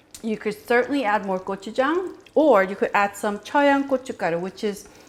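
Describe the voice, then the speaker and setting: A woman's speech keeps a moderate pace and shows ordinary pitch variation. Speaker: cooking channel host. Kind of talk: tutorial. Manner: animated.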